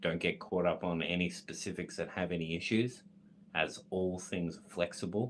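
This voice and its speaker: A man speaks with an Australian accent. His pitch is very deep and low, and his pace is moderate. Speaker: esoteric content creator reading a text aloud. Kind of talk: reading aloud with commentary. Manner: self-correcting, slightly halting.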